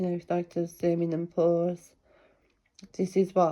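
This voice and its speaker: A woman's fairly low, dark and mellow voice in a British accent. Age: 50s. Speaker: book reviewer. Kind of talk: casual book review vlog. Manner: rambling, hesitant with fillers.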